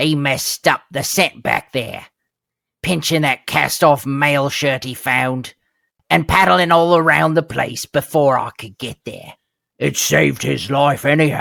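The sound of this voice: A man's put-on character voice, fairly high in pitch. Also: fairly slow pace.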